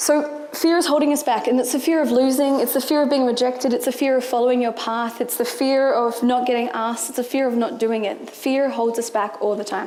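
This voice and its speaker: High pitch from a woman with an Australian accent, ordinary pitch variation and a moderate pace, in audible room echo. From rural New South Wales, Australia. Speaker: entrepreneur and marketing manager. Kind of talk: motivational talk. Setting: stage with audience.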